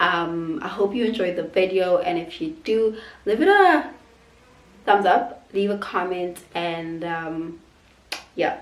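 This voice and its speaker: A woman at a medium pitch, very slow pace and long, frequent pauses, with audible room echo. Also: ordinary pitch variation. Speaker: lifestyle vlogger. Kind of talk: casual vlog talk to camera. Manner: halting, with fillers.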